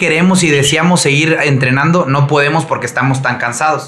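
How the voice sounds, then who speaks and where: With fairly even intonation, a man speaks amid audible room echo and noticeable background noise. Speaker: CrossFit coach and entrepreneur. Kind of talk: casual chat.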